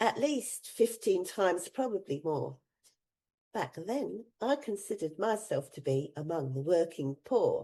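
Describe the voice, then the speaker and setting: A woman's dark, mellow voice at a medium pitch, with very wide pitch swings, a fairly slow pace, and a quiet background. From England, raised mostly in Australia. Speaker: retiree vlogger. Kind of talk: casual vlog monologue.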